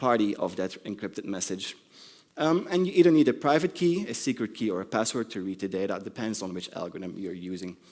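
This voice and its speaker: A man with a non-native accent and very wide pitch swings. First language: not English. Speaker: conference speaker. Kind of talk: conference talk. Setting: stage with audience. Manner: hesitant, many ums.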